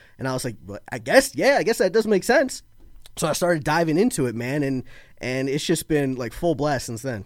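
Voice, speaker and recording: Very wide pitch swings from a man with a fairly high voice at a fairly quick pace, in a very clean recording with a silent background. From Florida (born in Baltimore). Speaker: political guest, conservative podcaster. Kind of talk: casual political conversation.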